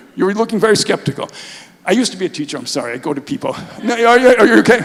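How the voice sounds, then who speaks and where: A high-pitched man talks at a fairly quick pace with very wide pitch swings. Noticeable background noise is present. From US Northeast (New York). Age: 70s. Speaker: Holocaust memorial activist, speaker. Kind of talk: public talk. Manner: animated.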